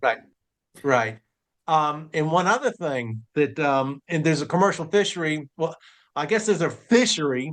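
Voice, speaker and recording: Against a quiet background, a man with a normal speaking voice talks at a fairly high pitch and moderate pace with lively intonation. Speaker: fishing show host. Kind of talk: interview question.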